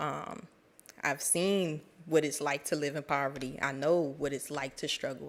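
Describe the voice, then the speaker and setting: On a very clean recording with a silent background, a woman speaks at a moderate pace in an American accent. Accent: DC accent with slight Southern twang. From Washington DC. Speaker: program alum speaker. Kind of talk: speech to graduates.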